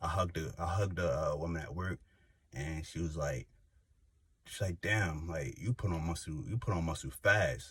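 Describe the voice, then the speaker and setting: A man's very deep, low voice with vocal fry, ordinary pitch variation and a moderate pace. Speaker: YouTuber. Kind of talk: casual vlog monologue. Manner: animated; casual, filler-heavy.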